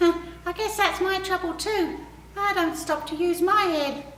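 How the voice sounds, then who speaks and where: A squeaky, put-on character voice moves at a moderate pace. Slight echo and light background noise are present. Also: woman, extremely high pitch for a woman. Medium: read story. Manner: earnest.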